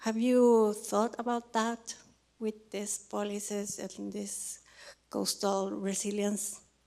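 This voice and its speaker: In a Spanish accent, the speaker goes at a very slow pace with monotone, flat intonation. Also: woman, medium pitch for a woman. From Chile. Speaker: audience member, researcher. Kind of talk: audience question. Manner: halting.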